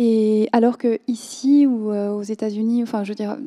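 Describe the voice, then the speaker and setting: Captured in a dry, close sound with no echo, a woman speaks in a fairly high voice with monotone, flat intonation. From Switzerland. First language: Korean (speaking French). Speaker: novelist. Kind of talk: literary panel discussion. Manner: halting, many hesitations.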